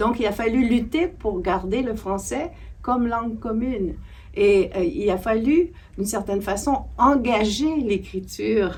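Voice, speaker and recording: Audible room echo surrounds a woman speaking at a fairly slow pace with a fairly high pitch, vocal fry and lively intonation. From Quebec. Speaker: literature scholar and author. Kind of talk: interview discussion. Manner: halting, many hesitations.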